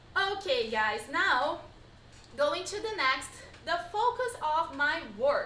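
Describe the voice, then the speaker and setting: A woman's raised, projected voice in a Brazilian accent, extremely high-pitched and bright and sharp, with very wide pitch swings, at a very slow pace and with audible room echo. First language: Portuguese. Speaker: pilates instructor. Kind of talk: live-streamed online workshop. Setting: live stream.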